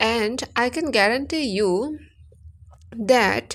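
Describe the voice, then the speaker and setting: Recorded very cleanly against a silent background, a woman speaks with an Assam accent. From India, Assam (village). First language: Assamese. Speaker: English teacher YouTuber. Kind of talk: tutorial.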